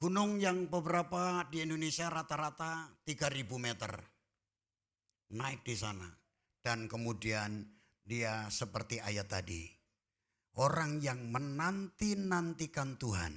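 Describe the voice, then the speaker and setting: On a very clean recording with a silent background, a man speaks at a very slow pace with a fairly high pitch and very wide pitch swings. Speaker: pastor. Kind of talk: sermon. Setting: church.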